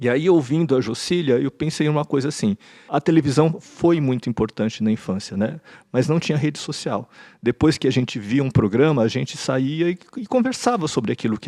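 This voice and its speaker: The voice has a dark, mellow tone and moves at a moderate pace. The sound is dry and close with no echo, over a quiet background. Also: man. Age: 60s. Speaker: podcast panelist, educator. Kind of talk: panel discussion. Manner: halting, with frequent repetitions.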